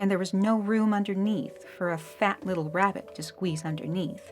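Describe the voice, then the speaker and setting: A woman speaks with an American accent at a medium pitch and a moderate pace. Her pitch varies in an ordinary way, with music playing in the background. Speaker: audiobook narrator. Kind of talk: children's audiobook reading.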